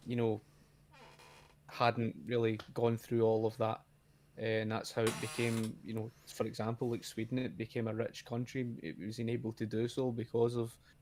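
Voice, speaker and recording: With a Scottish accent, a man of medium pitch speaks at a moderate pace with fairly even intonation. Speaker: YouTuber, guest. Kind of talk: casual debate. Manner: halting, repetitive.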